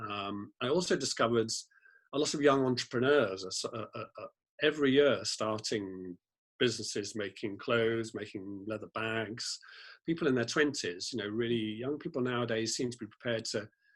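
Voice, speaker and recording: With a British accent, a man speaks fairly quickly at a medium pitch and with ordinary pitch variation. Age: 60s. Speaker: fashion blogger, former lawyer. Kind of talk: interview conversation.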